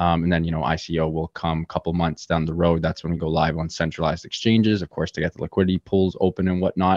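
Speaking at a very fast pace with hardly any pauses, a man with a very deep, low pitch and a Canadian accent keeps a monotone, flat intonation. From Canada, Toronto. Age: 20s. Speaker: crypto gaming startup executive. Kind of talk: podcast interview.

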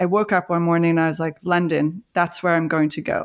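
Fairly low in pitch, a woman talks at a fairly quick pace. Hers is an unremarkable speaking voice. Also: very clean recording, silent background. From Canada. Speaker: marketing executive. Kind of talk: interview.

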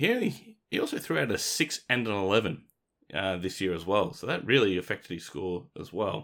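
Speaking at a fairly quick pace with an Australian accent, a man uses fairly low pitch and lively intonation on a very clean recording with a silent background. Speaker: fantasy football podcast host. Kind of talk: casual chat.

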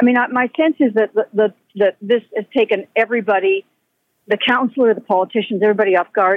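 Delivery moves at a fairly quick pace with ordinary pitch variation. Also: woman. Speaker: daughter of resident. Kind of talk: radio interview. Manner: halting.

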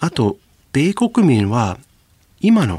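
A somewhat breathy man's voice with an English accent. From US South, Louisiana. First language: English (speaking Japanese). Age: 40s. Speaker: professor. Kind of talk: radio interview.

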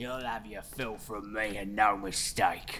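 Against clear background noise, a man uses a put-on character voice at a fairly low pitch, fairly slow and in a monotone, flat intonation. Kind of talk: working-class. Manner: hissing, sinister.

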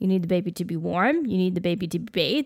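A woman talks at a medium pitch. Her pace is fairly quick. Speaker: podcast co-host. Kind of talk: casual chat.

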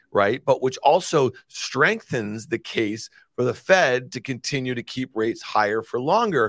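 A man speaks in a plain, everyday voice at a medium pitch and a fairly slow pace. The recording is very clean, with a silent background. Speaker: market host. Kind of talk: casual chat. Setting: studio. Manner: conversational, talkative.

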